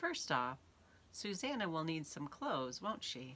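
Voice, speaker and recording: A put-on character voice at a middle pitch speaks at a moderate pace over clear background noise. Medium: read story.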